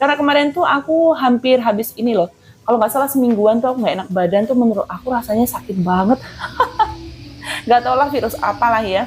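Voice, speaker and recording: A woman talks at a very fast pace with a high pitch and lively intonation. Noticeable background noise sits behind her. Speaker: housewife vlogger. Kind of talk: casual vlog chat while cleaning. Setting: at home. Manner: casual, chatty.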